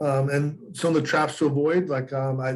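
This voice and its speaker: This man's voice sits at a medium pitch and sounds somewhat breathy. His intonation stays fairly even. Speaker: real estate instructor. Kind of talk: lecture. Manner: fast; halting.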